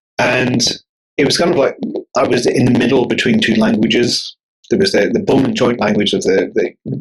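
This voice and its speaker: The speaker has a Northern Irish accent. Their pitch swings very widely. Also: man. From Northern Ireland, near Belfast. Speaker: bodyworker and author. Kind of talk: podcast interview. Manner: halting, many repetitions.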